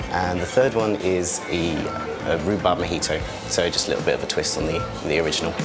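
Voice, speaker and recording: The pitch varies in an ordinary way at a fairly quick pace. Music plays clearly in the background. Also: man. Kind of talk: interview answer. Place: bar.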